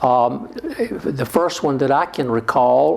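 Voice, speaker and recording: Noticeable background noise surrounds a man with a South Carolina Lowcountry accent speaking at a fairly high pitch. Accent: US Southern, South Carolina Lowcountry. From South Carolina Lowcountry (Georgetown). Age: 70s. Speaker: retired politician and church parishioner. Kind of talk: oral history interview. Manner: halting, frequent fillers.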